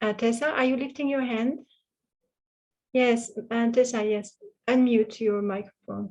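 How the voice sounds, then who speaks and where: A woman with a French accent speaks at a fairly high pitch and a fairly slow pace. Her intonation stays fairly even, broken by long, frequent pauses. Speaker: interpreter for a Buddhist teacher. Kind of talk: online retreat Q&A. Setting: video call. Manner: halting.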